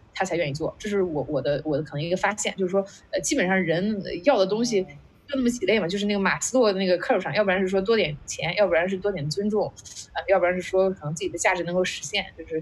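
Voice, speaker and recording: Over noticeable background noise, a woman talks at a very fast pace with a medium pitch and lively intonation. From China, Qingdao. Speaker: startup founder, former product manager. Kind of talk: casual interview conversation. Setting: online video call event.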